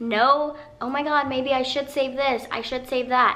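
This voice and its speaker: A woman's raised, projected, high-pitched voice over noticeable background noise. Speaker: personal finance vlogger. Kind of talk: casual vlog talk to camera. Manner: animated.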